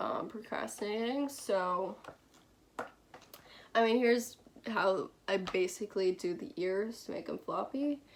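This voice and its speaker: A woman speaking at a fairly slow pace. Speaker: fursuit maker. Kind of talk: tutorial. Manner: monotone.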